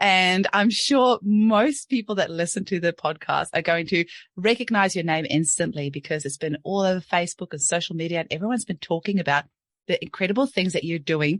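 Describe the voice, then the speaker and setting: A woman with a New Zealand accent talks at a fairly quick pace in an animated tone, her pitch fairly low. The sound is dry and close with no echo, and the background is quiet. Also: ordinary pitch variation. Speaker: podcast host, homeopath. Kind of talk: podcast interview; scripted intro.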